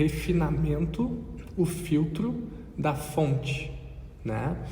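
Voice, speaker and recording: Noticeable background noise and audible room echo around a male voice. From Brazil. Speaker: podcast co-host. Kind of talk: casual conversation.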